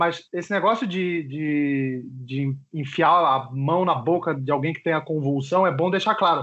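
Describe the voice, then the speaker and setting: A man with an ordinary speaking voice and a fairly high pitch speaks at a fairly slow pace. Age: 30s. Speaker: early internet personality with epilepsy. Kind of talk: casual chat. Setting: Skype call.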